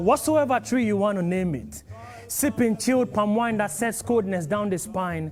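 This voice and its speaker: Music plays behind a man with a high pitch. He talks at a moderate pace with lively intonation. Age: young. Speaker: spoken word poet. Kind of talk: spoken word poetry performance. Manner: impassioned, pained.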